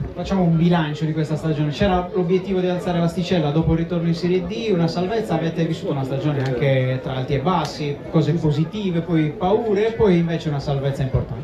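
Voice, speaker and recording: Over noticeable background noise and audible room echo, a man with a high voice and ordinary pitch variation talks at a very fast pace with hardly any pauses. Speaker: awards ceremony presenter. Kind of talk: live event presenting. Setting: stage with audience.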